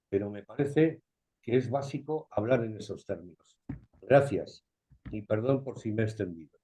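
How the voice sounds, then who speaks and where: A man with a dark, mellow tone and a somewhat breathy quality speaks at a moderate pace and medium pitch, with ordinary pitch variation and big swings in loudness. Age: 70s. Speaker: videoconference participant. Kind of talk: open discussion comment. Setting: video call.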